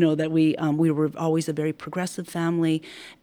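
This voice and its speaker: A woman speaks with a Californian accent at a fairly quick pace. Her tone is dark and mellow, and her pitch is fairly low. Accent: Californian American English. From San Francisco. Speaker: heritage foundation executive director. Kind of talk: interview about community history. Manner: hesitant with fillers.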